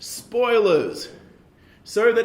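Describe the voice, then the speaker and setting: A man speaks at a fairly slow pace, with noticeable background noise and audible room echo. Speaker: panel moderator. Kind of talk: event introduction.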